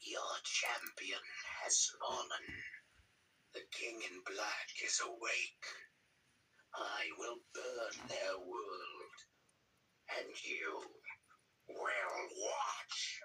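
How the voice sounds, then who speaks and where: A man whispers in a put-on character voice. He goes at a very slow pace, with long, frequent pauses. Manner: menacing.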